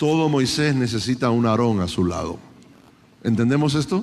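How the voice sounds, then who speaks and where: Heard with audible room echo, a man talks at a medium pitch with ordinary pitch variation. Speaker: conference preacher. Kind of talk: sermon.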